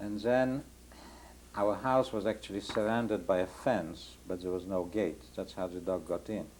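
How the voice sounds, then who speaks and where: At a moderate pace, a man with a Polish accent talks at a fairly low pitch. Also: ordinary pitch variation. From Poland (Warsaw area). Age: 60s. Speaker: Holocaust survivor. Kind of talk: oral history interview. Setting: home interview, rain on skylight.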